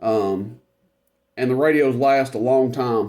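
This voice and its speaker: A man speaks in a dark, mellow tone at a medium pitch, with ordinary pitch variation. The recording is very clean, with a silent background. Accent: Tennessee. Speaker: CB radio reviewer. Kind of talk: product demonstration tutorial. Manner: casual, filler-heavy.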